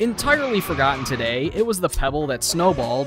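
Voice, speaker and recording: A man at a fairly quick pace, lively intonation, dry sound with no echo, and music in the background. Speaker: video reviewer narrator. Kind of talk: commentary.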